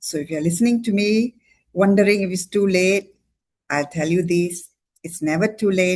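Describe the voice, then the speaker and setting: Her pitch is fairly low for a woman, with ordinary pitch variation. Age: 60s. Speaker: doctor giving a product testimony. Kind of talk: testimony. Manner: animated.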